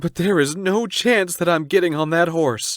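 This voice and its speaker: A man's put-on character voice, high-pitched, with ordinary pitch variation and a moderate pace. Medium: read story.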